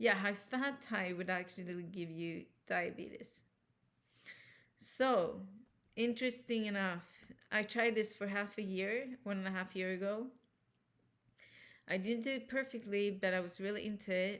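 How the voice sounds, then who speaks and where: Spoken with a Swedish accent, the speech is broken by long, frequent pauses. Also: woman, medium pitch for a woman, ordinary pitch variation, moderate pace. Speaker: health vlogger. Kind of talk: personal vlog monologue.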